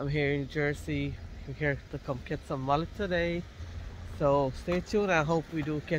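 Recorded dry with no echo but with noticeable background noise, a man talks at a moderate pace with fairly even intonation. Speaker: vlogger. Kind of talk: casual vlog chat. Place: street. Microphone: phone near.

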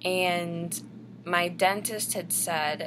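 Over noticeable background noise, a woman speaks at a fairly low pitch with vocal fry and ordinary pitch variation. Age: 20s. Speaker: vlogger. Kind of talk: casual vlog monologue. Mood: calm, personal storytelling. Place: home room. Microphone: webcam.

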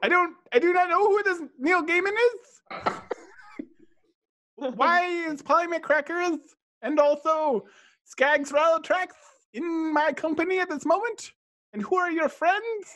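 Putting on a character voice, a man speaks at an extremely high pitch and a fairly slow pace, with long, frequent pauses. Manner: formal, regal.

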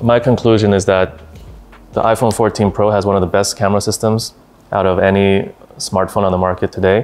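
Here a man talks very fast in a fairly low voice. His intonation is fairly even and his loudness very even. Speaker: company executive reviewing a phone. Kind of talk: interview answer. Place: office. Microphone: lapel.

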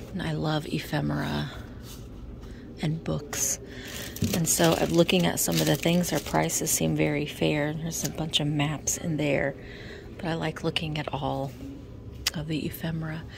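The woman talks at a moderate pace, stopping for long, frequent pauses. The sound is dry with no echo, though noticeable background noise is present. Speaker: vintage reseller shopper. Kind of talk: casual vlog chat. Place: shop. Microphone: phone near.

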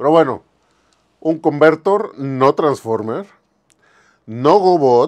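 Against a quiet background, a man with a fairly high pitch talks at a very slow pace, his voice making very wide pitch swings. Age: 50s. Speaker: toy museum owner, collector and video host; video host. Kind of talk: casual toy show-and-tell video. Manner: casual, conversational. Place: shop. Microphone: lapel.

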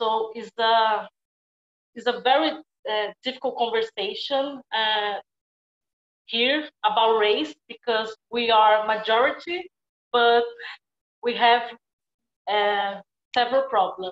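Speaking in a Brazilian accent, a woman talks very slowly with long, frequent pauses, at a fairly high pitch with ordinary variation. The background is quiet, and there is audible room echo. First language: Portuguese. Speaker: actor; film actor. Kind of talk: panel Q&A. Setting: video call. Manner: halting. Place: home room. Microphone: earbuds.

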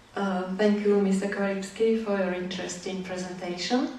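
Heard through strong room echo, the voice moves at a moderate pace with a slightly mellow tone and fairly even intonation. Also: woman, medium pitch for a woman.

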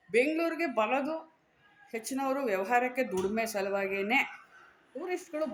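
Her voice sits high for a woman and moves with lively intonation. Noticeable background noise runs under the recording. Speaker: YouTuber. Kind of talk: opinion monologue to camera.

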